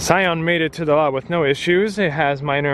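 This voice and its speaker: A man speaks in a normal speaking voice. His pace is fairly quick, with ordinary pitch variation. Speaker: car dealer and vlogger. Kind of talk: vlog narration. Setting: in a car and on a car lot.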